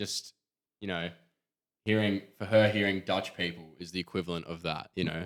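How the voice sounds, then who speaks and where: Speaking in an Australian accent at a moderate pace, the voice stays monotone and flat, broken by long, frequent pauses, in a very clean recording with a silent background. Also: man, very deep, low pitch for a man. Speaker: podcast co-host, street photographer. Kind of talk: casual chat.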